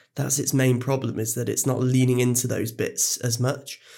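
A man with a normal speaking voice talks at a moderate pace, his medium pitch carried in fairly even intonation. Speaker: film podcast host. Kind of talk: casual chat, film discussion.

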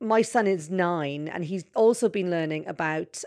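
This very clean recording has a silent background. A woman talks in a fairly low pitch with ordinary variation in it. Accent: Welsh. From Wales. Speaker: journalist. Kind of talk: interview.

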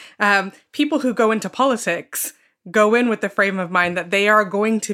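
In a British accent, a woman speaks with a bright, sharp tone on a very clean recording with a silent background. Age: 20s. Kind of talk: panel discussion.

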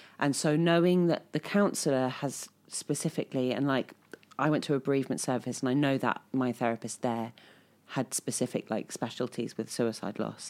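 This woman's pitch is very deep and low, with ordinary pitch variation. She keeps a moderate pace and very even loudness. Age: 30s. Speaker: podcast host. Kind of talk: casual chat. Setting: studio.

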